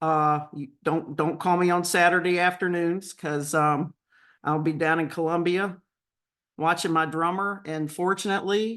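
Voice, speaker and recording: This woman speaks with a Southern US accent at a fairly low pitch. The background is quiet. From North Carolina. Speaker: real estate agent and coach. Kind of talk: webinar presentation.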